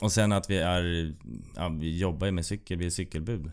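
On a very clean recording with a silent background, a man speaks with a very deep, low pitch and fairly even intonation. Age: 30s. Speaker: bike courier and racing cyclist. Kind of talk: casual chat. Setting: studio.

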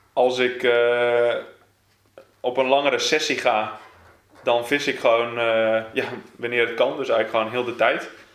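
In a room with audible echo, a man with a medium pitch speaks fairly slowly in a monotone, flat way, leaving long, frequent pauses. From Netherlands, South Holland (Gouda area). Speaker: carp angler. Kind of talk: casual interview.

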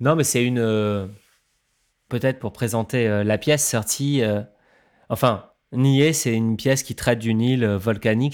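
At a moderate pace, a man talks at medium pitch in a very clean recording with a silent background. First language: not French (speaking French). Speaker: musician and sound artist. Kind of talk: casual chat.

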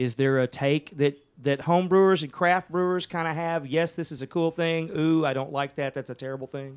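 A man's fairly high voice with a Texan accent, fairly even intonation and a fairly quick pace, hardly any pauses, over a quiet background. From Texas, Ennis near Dallas. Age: 50s. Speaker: musician. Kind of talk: casual chat.

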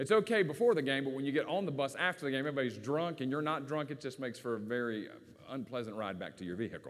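With a Southern US accent and lively intonation, a man speaks at a very fast pace. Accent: Southern US, country, moderate. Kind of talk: sermon. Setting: church.

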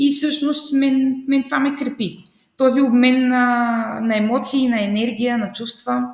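A woman talks in a high voice, taking a fairly slow pace. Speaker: primary and English teacher. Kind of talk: interview. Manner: animated.

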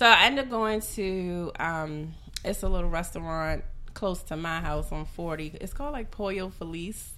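Bright and sharp in tone with an American accent, the voice moves at a fairly slow pace with lively intonation and big swings in loudness, heard with audible room echo. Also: woman, fairly low pitch for a woman. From US, grew up in foster care, Nigerian parents. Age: 30s. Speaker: podcast guest, former rapper. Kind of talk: casual chat.

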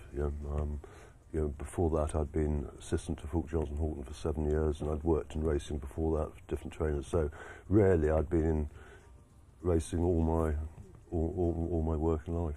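At a fairly quick pace, a man speaks in a very deep, low, somewhat breathy voice with monotone, flat intonation. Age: 60s. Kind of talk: casual interview chat. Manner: halting, hesitant.

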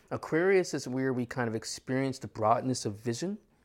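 A man speaks in an ordinary speaking voice, medium in pitch, at a moderate pace with an American accent. The recording is very clean, with a silent background. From New York. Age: 40s. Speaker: astrologer. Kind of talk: casual chat.

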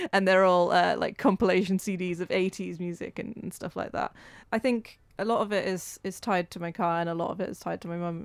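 With a Welsh accent, a woman talks at a fairly quick pace and medium pitch with fairly even intonation, recorded very cleanly against a silent background. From Wales. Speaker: community radio volunteer presenter. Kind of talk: casual interview chat.

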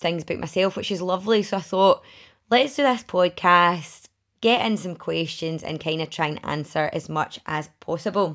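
In a very clean recording with a silent background, a woman with a Glaswegian accent speaks at a fairly low pitch. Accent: Glaswegian Scottish. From Scotland, Glasgow area (Milngavie). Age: 30s. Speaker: podcast host and women's networking group founder. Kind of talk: casual solo podcast talk.

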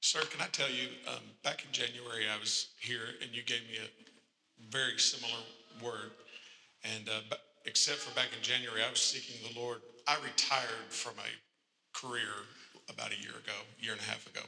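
The speech comes in a Kentucky accent at a moderate pace. Its intonation is flat and monotone. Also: man, medium pitch for a man. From Kentucky, near Winchester. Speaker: pastor.

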